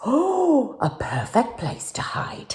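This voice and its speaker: A woman's dark, mellow, somewhat breathy voice takes a playful tone and swings very widely in pitch. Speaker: actress and TV personality. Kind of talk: children's picture book reading. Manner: playful, storytelling.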